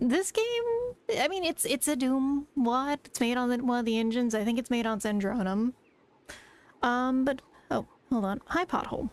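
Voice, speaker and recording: At a moderate pace, a high-pitched woman speaks with ordinary pitch variation, very even loudness, and long, frequent pauses. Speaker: vtuber streamer. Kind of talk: casual live-stream chat with gameplay.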